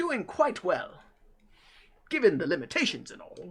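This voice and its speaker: A man's put-on character voice in a British accent. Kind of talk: posh, formal, old-fashioned. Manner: refined, courteous.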